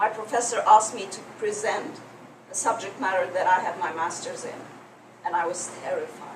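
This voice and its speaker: A woman with a fairly high pitch at a moderate pace, with big swings in loudness, audible room echo and noticeable background noise. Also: ordinary pitch variation. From Egypt. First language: French. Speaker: public speaking coach. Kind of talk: workshop presentation.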